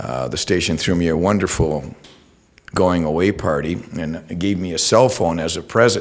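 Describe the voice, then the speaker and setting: Noticeable background noise sits behind a man with a very deep, low voice, ordinary pitch variation and a moderate pace. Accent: Canadian. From Ontario, Canada. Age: 60s. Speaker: retired TV news reporter. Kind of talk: public talk. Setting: talk to an audience. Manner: casual, hesitant with fillers.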